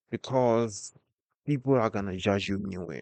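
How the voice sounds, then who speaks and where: A man with a non-native accent speaks at a moderate pace, his pitch fairly low with ordinary variation. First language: not English. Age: 20s. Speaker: vlogger. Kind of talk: personal vlog monologue. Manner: halting.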